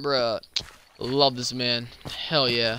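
His voice is raised and projected. It carries a bright, sharp tone. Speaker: gaming streamer. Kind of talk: casual chat. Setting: live stream.

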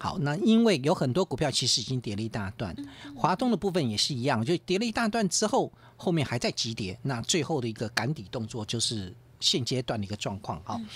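A somewhat breathy man speaks with very wide pitch swings. The sound is dry with no echo, and there is light background noise. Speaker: stock market analyst. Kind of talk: radio market commentary. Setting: radio studio. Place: studio.

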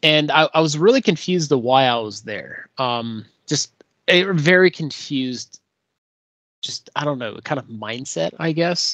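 The speech moves at a fairly slow pace over a quiet background, with a dry sound and no echo. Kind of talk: personal dream narration. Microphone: video call.

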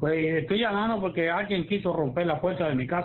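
Fast pace with ordinary pitch variation

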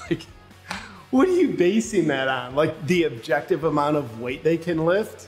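Moderate-paced speech from a man, with faint music in the background. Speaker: satirical comedian in character. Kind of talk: comedic monologue to camera. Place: garage.

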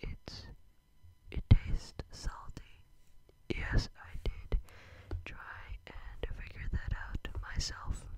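A man is whispering at a very slow pace. Long, frequent pauses break up his words. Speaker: ASMR creator. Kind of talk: soft-spoken ASMR chat. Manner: soft, hushed ASMR voice close to mic. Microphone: studio mic.

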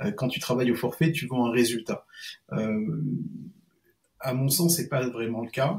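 Against a quiet background, a man with a medium pitch and ordinary pitch variation talks at a fairly slow pace with long, frequent pauses. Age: 40s. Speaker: freelance SEO consultant; guest. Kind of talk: interview. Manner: halting. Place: home room.

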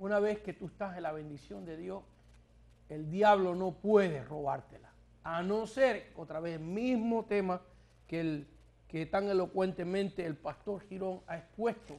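At a fairly slow pace, a man with a high pitch and ordinary pitch variation speaks with big swings in loudness. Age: 60s. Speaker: pastor and TV network founder; pastor. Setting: TV studio. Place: studio. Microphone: lapel.

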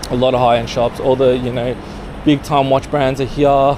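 A man speaks in a monotone, flat way against noticeable background noise. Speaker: street vlogger. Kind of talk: casual vlog chat. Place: street. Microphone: phone near.

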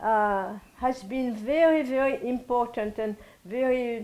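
Very slow in pace, a woman speaks in a high pitch with ordinary pitch variation. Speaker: interviewee. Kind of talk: interview answer. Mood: reflective, warm. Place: home room. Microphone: lapel.

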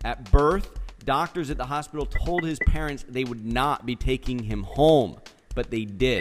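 Music plays in the background as a man speaks at a moderate pace, with a medium pitch and ordinary pitch variation. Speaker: podcast interview host. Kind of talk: interview host talk.

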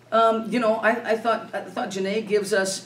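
With light background noise and audible room echo, a woman speaks in a monotone, flat intonation. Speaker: basketball head coach. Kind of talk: interview answer. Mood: calm, reflective after game. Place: meeting room. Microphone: camera far.

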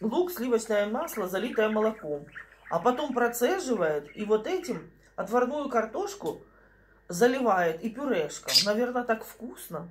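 Amid light background noise, a woman speaks at a fairly slow pace. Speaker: home vlogger. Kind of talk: casual vlog chat. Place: kitchen. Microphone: phone near.

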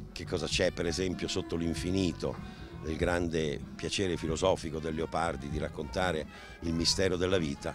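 A man's very deep, low voice at a moderate pace, dry with no echo, over clear music in the background. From Italy. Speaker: actor. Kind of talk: interview answer. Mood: calm, reflective. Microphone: handheld.

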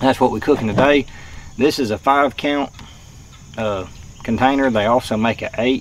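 A man speaks at a medium pitch with fairly even intonation. Faint background noise sits behind him. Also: moderate pace.

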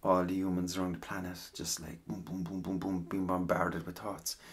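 A man with a very deep, low pitch and an Irish accent. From Ireland. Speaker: ASMR voice actor. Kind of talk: casual rambling talk.

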